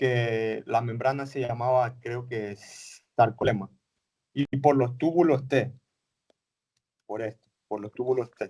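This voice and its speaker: Speaking very slowly with long, frequent pauses, a man at a medium pitch keeps fairly even intonation in a dark, mellow tone, with big swings in loudness. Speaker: teacher. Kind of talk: lecture.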